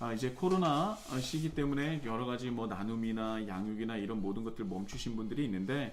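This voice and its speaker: A man of medium pitch talks at a fairly quick pace with hardly any pauses and ordinary pitch variation. Audible room echo and noticeable background noise are present. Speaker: pastor. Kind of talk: church announcements. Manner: fast; hesitant fillers.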